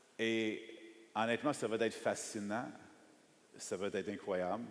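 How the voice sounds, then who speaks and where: This man speaks with an American accent. His pace is very slow. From United States. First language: English (speaking French). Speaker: preacher. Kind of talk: sermon. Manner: hesitant, many fillers.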